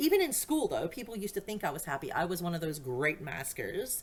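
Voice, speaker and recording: In an American accent, a woman talks at a moderate pace and medium pitch. Her pitch swings very widely. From USA, various states. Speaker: podcast host. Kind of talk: personal monologue. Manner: rambling, self-interrupting.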